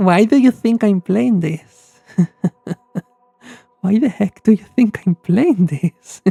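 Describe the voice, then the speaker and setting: Speaking very slowly with long, frequent pauses, a woman with a non-native accent uses lively intonation at a medium pitch, in a dry, close sound with no echo. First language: not English. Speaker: streamer, VTuber. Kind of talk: live game stream commentary. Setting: live stream. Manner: hesitant, many fillers.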